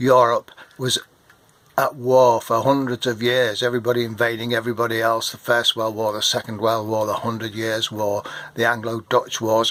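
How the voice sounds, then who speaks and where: Speaking with an English accent, a man at medium pitch talks at a fairly quick pace. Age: 60s. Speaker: retired marine and vlogger. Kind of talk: political rant to camera. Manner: animated.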